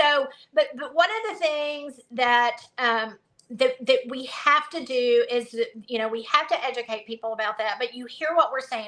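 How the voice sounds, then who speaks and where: Her pitch is high. The woman's intonation is lively. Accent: Southern. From US South. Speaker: conservative education activist. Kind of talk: casual interview chat.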